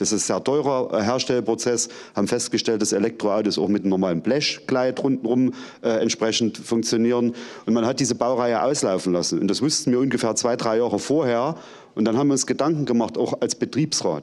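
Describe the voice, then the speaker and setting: In a quiet background, a man talks at a fairly quick pace and medium pitch. His pitch varies in an ordinary way, and his loudness stays very even. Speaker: works council representative. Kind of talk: panel discussion. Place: stage. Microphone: handheld.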